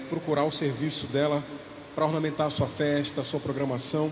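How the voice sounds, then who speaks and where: A man's fairly high-pitched voice at a moderate pace, with audible room echo and noticeable background noise. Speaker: parish livestream host. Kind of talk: live church broadcast, reading comments.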